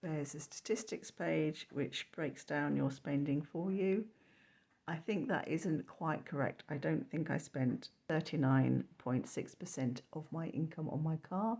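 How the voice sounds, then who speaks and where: Her voice very deep and low with vocal fry, a woman speaks at a fairly slow pace with lively intonation. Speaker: frugal living vlogger. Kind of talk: casual budget review talk to camera.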